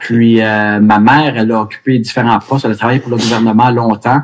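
A man speaks in an ordinary speaking voice. His pitch is medium and his intonation fairly even. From Quebec, Montreal (Ville Mont-Royal). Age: 50s. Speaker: hockey goaltending coach. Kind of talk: casual interview.

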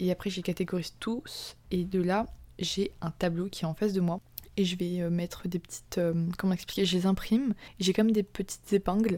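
In a very clean recording with a silent background, a woman speaks at a moderate pace with a medium pitch and a dark, mellow tone. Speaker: podcast host. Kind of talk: casual monologue. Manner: animated; stumbling.

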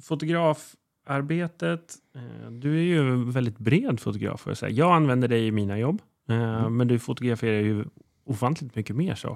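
Over a silent background on a very clean recording, a man at a moderate pace and medium pitch uses ordinary pitch variation, a normal speaking voice. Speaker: podcast host and real estate agent. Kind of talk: casual interview chat.

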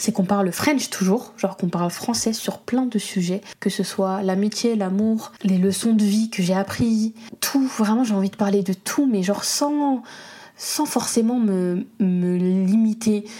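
A woman at a medium pitch and fairly slow pace, animated in tone with ordinary pitch variation, amid noticeable background noise. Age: 20s. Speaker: podcaster and content creator. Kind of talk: casual monologue. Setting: home studio.

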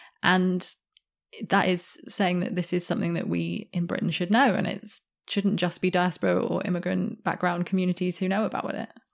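Against a quiet background, a woman with a medium-pitched voice and vocal fry speaks at a moderate pace with fairly even intonation. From Australia, Sydney. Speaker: journalist and author. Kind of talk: interview.

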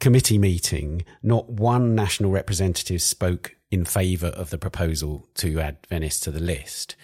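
On a very clean recording with a silent background, a man with a very deep, low voice and a dark, mellow tone speaks at a moderate pace with lively intonation. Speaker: arts podcast host. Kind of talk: scripted intro and interview. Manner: formal.

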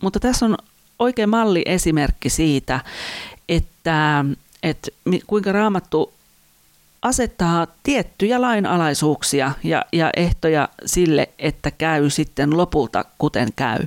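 A woman with a fairly low voice speaks at a very slow pace, her pitch swinging very widely while her loudness stays very even. The sound is dry and close with no echo. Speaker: podcast host, church worker. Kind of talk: devotional teaching monologue.

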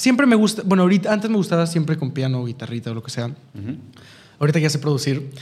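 A somewhat breathy man with a Mexican accent, a fairly high pitch, very wide pitch swings, and a very fast pace. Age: 20s. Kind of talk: interview.

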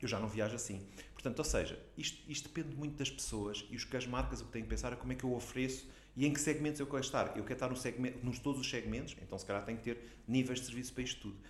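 A man speaks at a very fast pace with vocal fry and fairly even intonation. Audible room echo is in the recording. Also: medium pitch for a man. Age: 50s. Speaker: digital economy association president. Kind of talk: interview.

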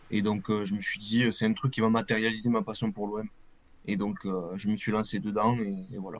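The delivery keeps a moderate pace. Its intonation is flat and monotone. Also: man, fairly low pitch for a man. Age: 20s. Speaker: football supporter and jersey collector. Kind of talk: casual interview. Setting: live video stream. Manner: casual, hesitant with fillers.

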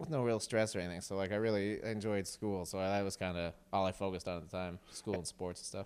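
With a Nova Scotian accent, a man with a fairly low pitch rattles along at a very fast pace with hardly any pauses and fairly even intonation. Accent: Nova Scotian Canadian. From Nova Scotia, near New Glasgow. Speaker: comedian. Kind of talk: casual chat.

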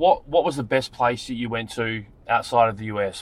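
At a moderate pace, a man talks at medium pitch. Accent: Australian. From Wollongong, Australia. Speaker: rideshare driver and podcast host. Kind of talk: casual chat. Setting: in a car.

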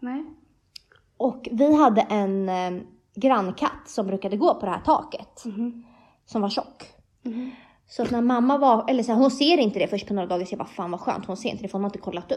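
A woman with an ordinary speaking voice talks at a fairly quick pace in a fairly high pitch, her intonation lively against a quiet background. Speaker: podcast co-host. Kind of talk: casual chat.

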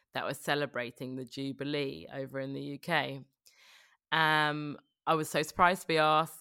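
The voice has a bright, sharp tone and moves at a moderate pace with fairly even intonation, yet its loudness swings widely. The recording is very clean, with a silent background. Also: woman, very deep, low pitch for a woman. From Scotland. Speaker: broadcaster and presenter. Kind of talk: casual interview chat.

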